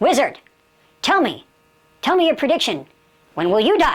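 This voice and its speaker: A woman puts on a character voice, high in pitch with very wide pitch swings. Her pace is moderate. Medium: solo performance. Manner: calm, terse.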